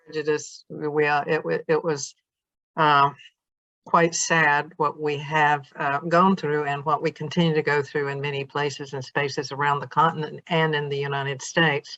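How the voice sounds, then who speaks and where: With a Southern US accent, a woman talks at a moderate pace in a very deep, low pitch with monotone, flat intonation. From US South. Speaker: interviewer. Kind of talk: interview.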